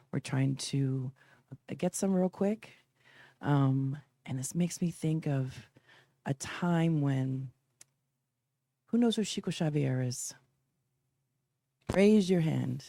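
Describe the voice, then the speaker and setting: Speaking very slowly with long, frequent pauses, a woman uses a very deep, low voice with a dark, mellow tone and lively intonation. The recording is very clean and dry, close-sounding with no echo and a silent background. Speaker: spiritual speaker. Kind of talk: spiritual talk. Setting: packed room with live audience, livestreamed.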